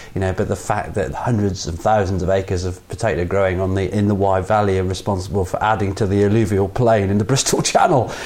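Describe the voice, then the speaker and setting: With an English accent and a fairly low pitch, a man races along at a very fast pace, barely pausing, his intonation fairly even, against noticeable background noise. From England. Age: 30s. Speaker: podcast co-host and performer. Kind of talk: casual chat. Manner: halting.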